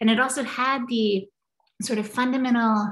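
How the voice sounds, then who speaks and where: Against a quiet background, a woman with an American accent speaks in a somewhat breathy voice with monotone, flat intonation. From Kentucky, US. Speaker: planetary scientist, professor; professor. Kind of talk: lecture. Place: home room. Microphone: video call.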